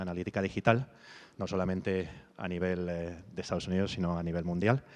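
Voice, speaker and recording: Very fast speech from a man. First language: Spanish. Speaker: solutions engineer. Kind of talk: conference introduction. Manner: halting.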